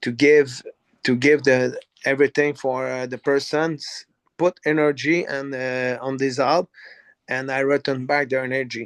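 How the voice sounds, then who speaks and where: In a dry, close recording with no echo, a man with a non-native accent speaks at a medium pitch and a fairly slow pace, his intonation monotone and flat. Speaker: company CEO. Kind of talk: live online business training Q&A. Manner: halting, many fillers and repeats.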